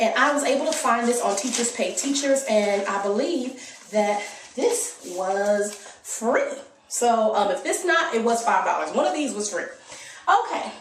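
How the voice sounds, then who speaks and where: Noticeable background noise and audible room echo surround a woman with an American accent and a fairly high pitch. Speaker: homeschooling mom vlogger. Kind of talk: casual tutorial. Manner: conversational, many fillers.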